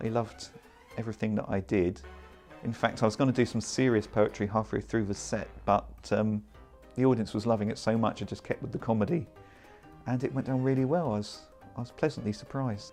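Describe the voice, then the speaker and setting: Over background music, a man with an English accent speaks with ordinary pitch variation and long, frequent pauses. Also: medium pitch for a man, fairly quick pace. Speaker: comedy performance poet. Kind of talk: interview answer.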